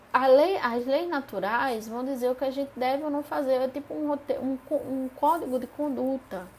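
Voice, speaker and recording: Speaking fairly slowly over noticeable background noise, a woman has a high voice. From Paraíba, Northeast Brazil. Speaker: spiritist study group leader. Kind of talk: live-streamed study lesson. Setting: live stream. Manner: animated.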